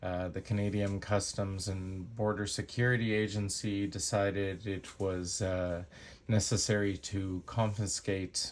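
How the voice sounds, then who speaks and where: In a very clean recording with a silent background, a man with a fairly low voice speaks at a fairly slow pace with fairly even intonation and hardly any pauses. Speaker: knife reviewer YouTuber. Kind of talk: product review. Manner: hesitant with awkward pauses.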